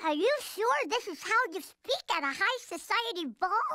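A put-on character voice, squeaky and extremely high in pitch, goes at a moderate pace. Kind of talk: cartoon dialogue. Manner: hesitant, doubtful. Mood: doubtful, questioning.

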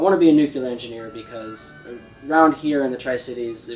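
Faint music plays in the background. Over it, a man speaks at a fairly quick pace. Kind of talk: interview answer. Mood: earnest, determined. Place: garden.

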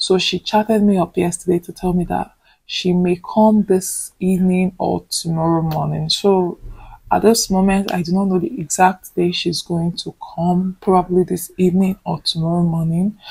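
A woman's somewhat breathy, dark, mellow voice, flat and monotone, at a moderate pace against a quiet background. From Nigeria. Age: 20s. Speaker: vlogger, nursing student; vlogger. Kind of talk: casual vlog talk to camera. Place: home room. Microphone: phone near.

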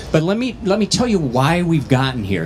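Someone speaks at a moderate pace with very wide pitch swings over light background noise. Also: man. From northwestern Minnesota. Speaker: county commissioner, gubernatorial candidate; candidate. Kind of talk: candidate forum. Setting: stage with audience at state fair. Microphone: handheld.

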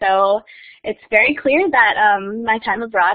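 The background is quiet as a woman speaks. Her pitch varies in an ordinary way. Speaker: former exchange student; keynote speaker. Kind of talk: presentation. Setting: video call. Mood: friendly, lightly humorous. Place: hall.

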